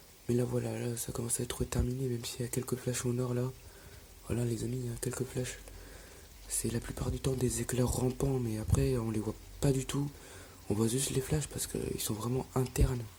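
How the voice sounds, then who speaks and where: The speaker whispers, pausing long and often, at a moderate pace. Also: man. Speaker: storm chaser vlogger. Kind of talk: live commentary. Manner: whispering; halting.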